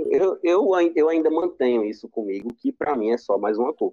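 A man is talking here with a normal speaking voice. His pitch sits fairly high. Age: 20s. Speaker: podcast co-host. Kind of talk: casual chat.

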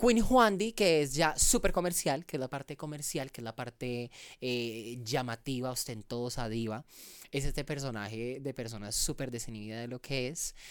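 A woman whose pitch is very deep and low talks at a moderate pace with ordinary pitch variation, captured in a very clean recording with a silent background. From Colombia, Valle del Cauca (Cali). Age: 20s. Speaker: content creator and comedian. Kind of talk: casual interview.

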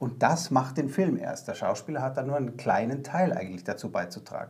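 Here a man speaks with a fairly high pitch. His pace is moderate and his pitch variation ordinary. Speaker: actor. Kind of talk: interview. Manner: halting.

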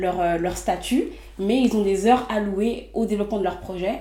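There is audible room echo and noticeable background noise as a woman speaks at a moderate pace with fairly even intonation. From Les Mureaux, Yvelines, France. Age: 20s. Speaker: entrepreneur. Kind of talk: interview.

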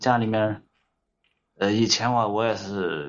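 A man talks at a very slow pace. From Shanxi, Datong. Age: 30s. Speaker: caller, excavator operator. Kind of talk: call-in advice chat.

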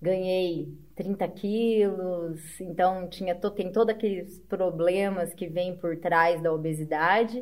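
A woman at a very slow pace, with medium pitch and fairly even intonation. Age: 40s. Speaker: amateur triathlete. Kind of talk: casual interview chat.

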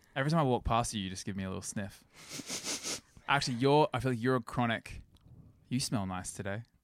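A man with an ordinary speaking voice talks at a fairly quick pace, medium in pitch with ordinary pitch variation. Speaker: guest friend chiming in. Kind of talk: casual chat.

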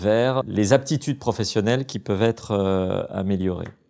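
In a very clean recording with a silent background, a man with an ordinary speaking voice talks at a fairly slow pace with ordinary pitch variation. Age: 40s. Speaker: judge. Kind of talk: interview.

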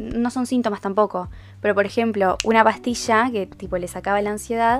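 A woman with a Uruguayan accent, fairly high in pitch, monotone and flat, at a moderate pace, with music in the background. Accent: Uruguayan Rioplatense Spanish. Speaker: podcaster. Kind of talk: casual monologue. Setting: recording in bed at home.

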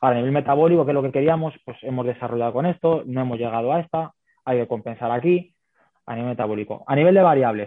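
The man has an unremarkable speaking voice with ordinary pitch variation. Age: 30s. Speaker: women's football fitness coach. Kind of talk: interview.

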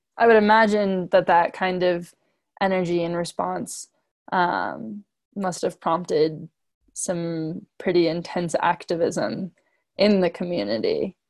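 A woman with an American accent and an unremarkable speaking voice, fairly low in pitch and fairly slow in pace, in a very clean recording with a silent background and a dry, close sound with no echo. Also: ordinary pitch variation. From New York. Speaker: student interviewer. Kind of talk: oral history interview.

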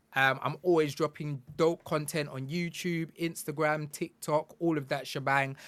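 The very clean recording, silent in the background, carries a man speaking in a monotone, flat way. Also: fairly high pitch for a man, moderate pace, hardly any pauses. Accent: British. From UK. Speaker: game industry consultant and content creator. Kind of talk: casual chat.

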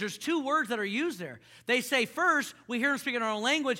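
A man's raised, projected voice, extremely high in pitch, bright and sharp in tone, at a very fast pace, in a very clean recording with a silent background. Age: 30s. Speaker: pastor. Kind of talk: sermon. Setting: church with congregation. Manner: animated.

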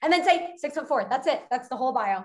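In an American accent, this woman talks with pitch that varies in an ordinary way. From Westchester, New York. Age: 20s. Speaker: dating content creator. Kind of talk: casual chat. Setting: video call.

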